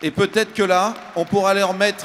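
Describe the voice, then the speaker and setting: The speaker is a man. He talks at a moderate pace. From France, Châtellerault. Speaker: building industry executive. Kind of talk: panel discussion. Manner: halting.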